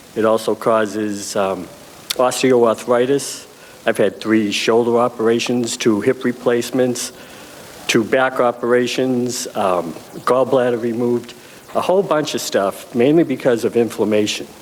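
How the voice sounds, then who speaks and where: A man talks at medium pitch. Noticeable background noise can be heard. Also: ordinary pitch variation, moderate pace. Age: 70s. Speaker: cannabis patient, chronic pain sufferer. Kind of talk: testimony. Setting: convention panel with audience. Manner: halting, frequent ums.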